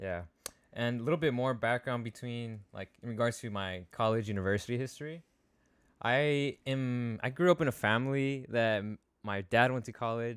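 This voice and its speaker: Medium-pitched male speech in a plain, everyday voice, moderate in pace and ordinary in pitch variation, captured very cleanly against a silent background. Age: 20s. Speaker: college student. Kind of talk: casual Q&A discussion.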